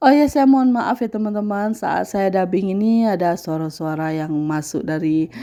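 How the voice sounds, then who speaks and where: The voice has a dark, mellow tone with ordinary pitch variation. It moves at a fairly slow pace. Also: woman. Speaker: housewife vlogger. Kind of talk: voice-over narration of daily vlog. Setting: home, dubbed voice-over. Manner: casual, hesitant with fillers.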